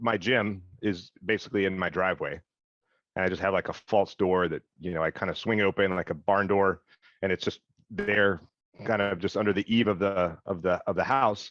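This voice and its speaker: Against a quiet background, with a dry, close sound and no echo, a man with a fairly low pitch speaks at a moderate pace in fairly even intonation. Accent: American. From US South, Mississippi. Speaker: military veteran and business owner. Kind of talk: podcast interview.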